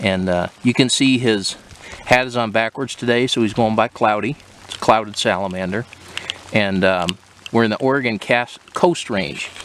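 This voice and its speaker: A medium-pitched male voice at a moderate pace, with noticeable background noise. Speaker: herping companion, salamander enthusiast. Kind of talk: casual field chat. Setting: outdoors in forest. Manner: monotone.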